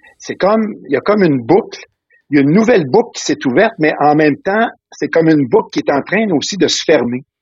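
The man talks at a very fast pace in a high voice. His pitch swings very widely. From Quebec (Trois-Rivières, Valleyfield). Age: 60s. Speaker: retired school principal. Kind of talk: interview conversation. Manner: halting, many repetitions.

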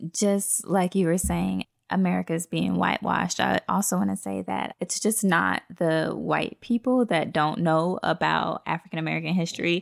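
Moderate pace with hardly any pauses, in a dry, close sound with no echo. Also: woman. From South Florida and Alabama. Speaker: recent college graduate. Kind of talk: casual discussion.

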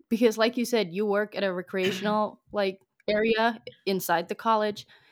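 An unremarkable speaking voice from a woman, fairly high in pitch, with ordinary pitch variation at a moderate pace, in a very clean recording with a silent background. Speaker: podcast host, student. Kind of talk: casual interview.

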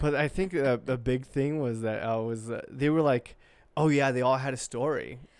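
A man's plain, everyday voice, medium in pitch, with fairly even intonation and a moderate pace. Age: 20s. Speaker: podcast co-host and producer. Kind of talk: casual chat.

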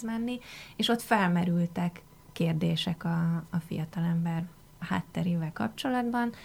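Here is a woman with an ordinary speaking voice. Her pitch is fairly low and her pace fairly slow. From Hungary. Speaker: foreign affairs journalist. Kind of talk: radio interview. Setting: radio studio.

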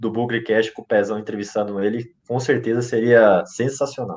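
Here a man speaks at a moderate pace and a medium pitch. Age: 20s. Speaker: football fan podcast contributor. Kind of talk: casual chat.

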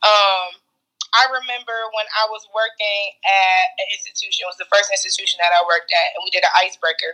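Speaking at a fairly quick pace with an American accent, a woman has a bright, sharp tone, a fairly high pitch, ordinary pitch variation, and big swings in loudness. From Cleveland, Ohio (inner city). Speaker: podcast co-host. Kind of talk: casual chat. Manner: animated.

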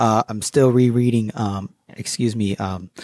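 In a very clean recording with a silent background, a man with a plain, everyday voice talks at a moderate pace and fairly low pitch, the sound dry and close with no echo. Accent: American. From US Connecticut. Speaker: guest, finance author and artist. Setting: studio. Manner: easygoing, upbeat and chatty; fills lines with 'you know' and overlapping thank-yous.

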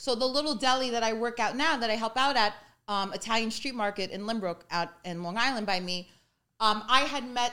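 Bright and sharp in tone, a woman with an American accent speaks at a fairly high pitch. Her pace is fairly quick and her pitch variation ordinary. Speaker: deli worker and social media personality. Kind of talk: casual chat. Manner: animated.

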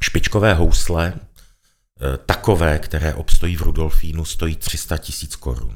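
This man's voice is very deep and low, with vocal fry and ordinary variation in pitch. He talks at a moderate pace, and his volume rises and falls sharply. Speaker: gallery owner and arts patron. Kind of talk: interview.

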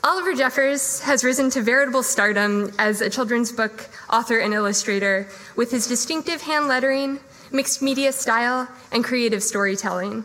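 Over noticeable background noise, a woman talks fairly quickly at a high pitch, with ordinary pitch variation and very even loudness. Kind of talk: event introduction. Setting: live event in a room with audience.

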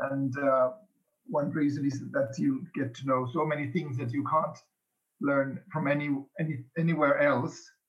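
At a moderate pace, a man talks in a fairly high pitch with fairly even intonation and a somewhat breathy sound. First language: Finnish. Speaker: host family parent. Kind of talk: podcast interview.

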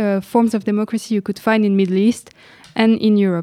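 A woman speaks in a dark, mellow tone. The sound is dry and close with no echo. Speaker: design graduate. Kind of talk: interview conversation.

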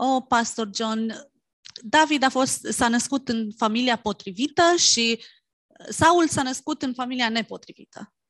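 A woman speaks in a high voice against a quiet background. The sound is dry and close, with no echo. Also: ordinary pitch variation, moderate pace. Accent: Romanian. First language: Romanian. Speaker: interpreter. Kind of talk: sermon interpretation.

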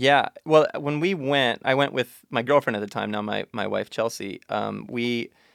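Recorded very cleanly against a silent background, a man with an American accent talks at a moderate pace in a dry, close sound with no echo. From Montana. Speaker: journalist and author. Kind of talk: interview. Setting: studio.

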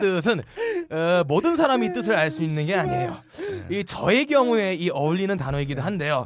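Over noticeable background noise, a man speaks at a high pitch and moderate pace, his pitch swinging very widely. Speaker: podcast co-host. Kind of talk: comedic casual chat.

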